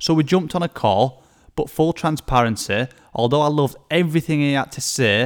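Over a very clean recording with a silent background, a man with an English accent talks very fast with ordinary pitch variation. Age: 20s. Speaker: personal trainer and podcast host. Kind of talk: solo podcast monologue. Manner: enthusiastic.

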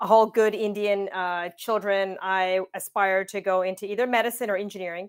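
A woman with a Canadian accent speaks at medium pitch and a moderate pace. Her intonation is monotone and flat, on a very clean recording with a silent background. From Windsor, Ontario, Canada. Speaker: tech company co-founder and CTO. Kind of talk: interview.

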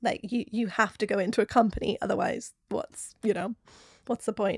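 On a very clean recording with a silent background and a dry, close sound with no echo, a woman speaks at a fairly high pitch in monotone, flat intonation. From Newcastle, northern England. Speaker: ballet dancer and yoga teacher. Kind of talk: casual interview chat. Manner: warm, positive.

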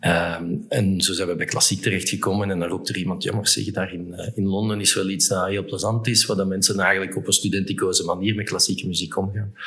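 A man's fairly low voice at a very fast pace, with hardly any pauses and monotone, flat intonation, over noticeable background noise. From Flemish Brabant, Belgium. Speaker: entrepreneur, event organizer. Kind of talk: interview. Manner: halting.

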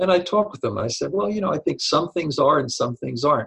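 This man has an American accent and vocal fry. His pitch varies in an ordinary way. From Long Island, New York. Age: 50s. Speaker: professor and author. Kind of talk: interview.

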